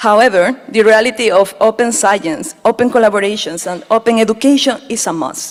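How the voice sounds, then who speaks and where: Her pitch is fairly high. This woman talks with a Spanish accent. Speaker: speaker at a water summit. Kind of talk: prepared conference speech.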